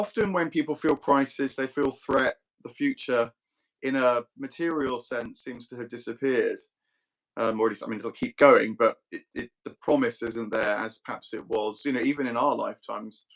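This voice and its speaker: A man with an unremarkable speaking voice talks at a moderate pace and medium pitch, with ordinary pitch variation. His loudness swings widely, and the sound is dry and close with no echo. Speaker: philosophy discussion host. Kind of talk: casual chat. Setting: live online video stream.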